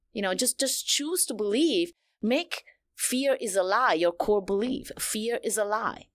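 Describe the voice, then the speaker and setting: A woman's fairly high voice with a non-native accent, lively intonation and a fairly slow pace, on a very clean recording with a silent background. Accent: foreign. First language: not English. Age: 40s. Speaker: women's coach and speaker. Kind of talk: podcast interview. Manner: animated.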